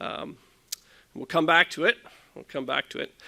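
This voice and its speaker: With vocal fry and a bright, sharp tone, a man speaks at a fairly quick pace in a dry, close sound with no echo. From Ontario, Canada. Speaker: livestock genetics scientist. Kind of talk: conference talk.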